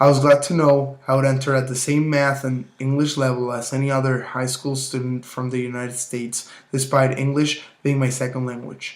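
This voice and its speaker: A man with a Spanish accent talks at a moderate pace and a medium pitch, with monotone, flat intonation and hardly any pauses. There is noticeable background noise. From Mexico. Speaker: university student. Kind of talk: prepared self-presentation for a class assignment. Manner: formal.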